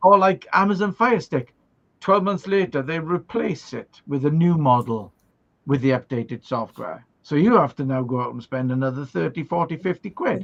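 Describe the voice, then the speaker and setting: With a Welsh accent, a man talks at a moderate pace and fairly high pitch, his intonation lively. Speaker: livestream host. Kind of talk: casual chat. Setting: live stream. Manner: animated.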